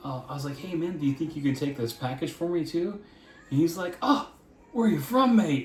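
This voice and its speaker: A man with an American accent, an animated tone and lively intonation at a moderate pace, amid noticeable background noise. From US, Florida. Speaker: vlogger, American expat parent. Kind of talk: casual chat.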